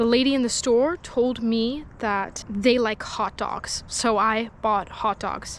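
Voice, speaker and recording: Speaking quietly, a woman uses a fairly high pitch and fairly even intonation. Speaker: fishing vlogger. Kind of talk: casual vlog chat. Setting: outdoors by a lake. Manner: talking quietly.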